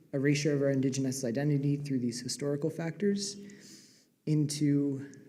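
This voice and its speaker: This man's voice sits at a fairly high pitch and has a dark, mellow tone, with audible room echo around it. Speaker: PhD student panelist. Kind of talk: academic presentation. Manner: fast.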